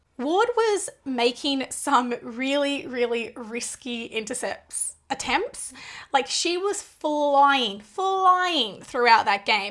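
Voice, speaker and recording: In an Australian accent, a woman speaks very slowly and loudly in a high voice with very wide pitch swings. The recording is very clean, with a silent background. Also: hardly any pauses. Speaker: netball podcast host. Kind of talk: casual sports chat.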